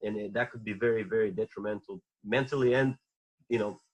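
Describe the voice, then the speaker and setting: With a Bulgarian accent, a man talks at a very fast pace and with ordinary pitch variation. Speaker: former Olympic wrestler. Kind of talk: podcast interview.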